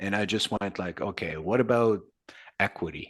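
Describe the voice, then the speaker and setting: In a Quebec French accent, a man speaks at a moderate pace with a fairly low pitch and fairly even intonation against a quiet background. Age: 60s. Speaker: metal singer. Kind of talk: casual interview.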